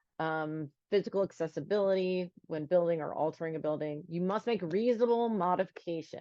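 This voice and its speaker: This woman has a plain, everyday voice, pitched fairly low. She speaks at a moderate pace with ordinary pitch variation. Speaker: attorney. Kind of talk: webinar presentation. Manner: frequent filler words.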